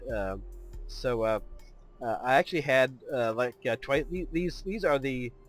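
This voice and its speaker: Music plays in the background. A man speaks at medium pitch and a moderate pace. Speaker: video game let's player. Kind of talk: casual gameplay commentary.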